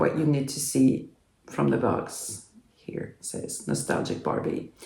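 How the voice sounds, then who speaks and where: A woman in a French accent, with audible room echo. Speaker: doll collector YouTuber. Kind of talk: unboxing video. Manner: hesitant, many fillers.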